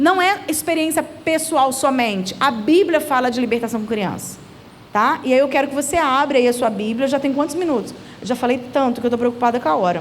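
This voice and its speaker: A woman speaks fairly quickly in a high pitch with lively intonation and very even loudness, with audible room echo and noticeable background noise. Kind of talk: church seminar talk. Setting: church seminar with audience. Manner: fast.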